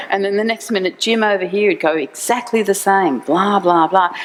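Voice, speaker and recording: With an Australian accent, a woman speaks at a medium pitch and moderate pace over noticeable background noise. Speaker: university executive. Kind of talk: conference talk.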